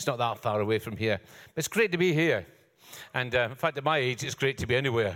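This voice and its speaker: A very fast-talking man with lively intonation. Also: medium pitch for a man. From UK outside England. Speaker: pastor. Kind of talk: sermon. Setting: church.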